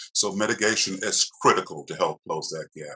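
Noticeable quiet in the background behind a man's moderately paced speech. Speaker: state insurance regulator; witness. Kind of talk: testimony. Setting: video call. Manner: formal. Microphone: video call.

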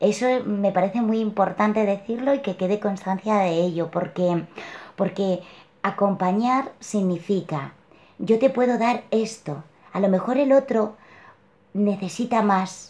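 This woman's voice is dark and mellow, moving at a fairly slow pace with ordinary pitch variation. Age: 40s. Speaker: client sharing personal story; interviewee. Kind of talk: testimony. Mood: reflective, warm. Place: home room. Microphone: webcam.

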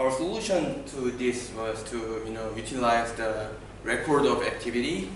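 A man talks at a fairly slow pace. Noticeable background noise and audible room echo accompany him. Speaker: conference presenter. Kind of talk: lecture. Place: meeting room. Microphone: camera far.

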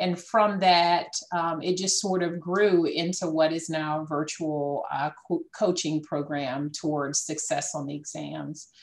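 With a Southern US accent, a woman speaks at a fairly low pitch and a fairly slow pace, with hardly any pauses. Her intonation is fairly even. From South Carolina. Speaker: entrepreneur. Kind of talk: panel discussion. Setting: video call.

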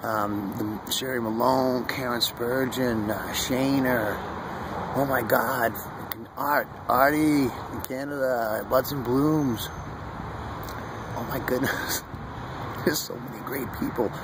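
Over loud background noise, a man talks at a very slow pace in a dry sound with no echo. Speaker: vlogger. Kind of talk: casual vlog chat. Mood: earnest, warm, preachy. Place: garden. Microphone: phone near.

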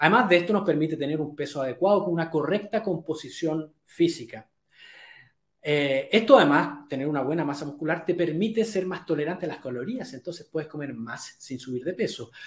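Lively intonation and a fairly quick pace come through with audible room echo. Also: man. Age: 40s. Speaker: health coach. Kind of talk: live webinar talk. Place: home room. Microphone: webcam.

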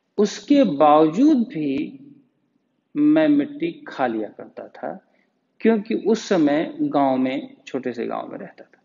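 Here a man talks in a high pitch at a very slow pace. His loudness swings widely. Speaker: yoga teacher. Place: home room.

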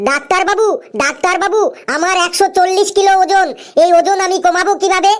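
This cartoonish character voice sits at an extremely high pitch and keeps a moderate pace. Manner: whiny, repeats "doctor babu".

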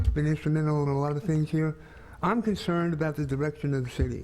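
A man talks at a fairly quick pace in a plain, everyday voice. His pitch is fairly high, and his intonation stays fairly even. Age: 60s. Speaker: city council candidate. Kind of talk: candidate forum statement.

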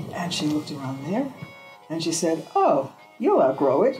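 A woman's fairly low voice with an American accent, moderate in pace, over clear music in the background. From New York. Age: 80s+. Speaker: artist. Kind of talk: interview answer. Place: home room.

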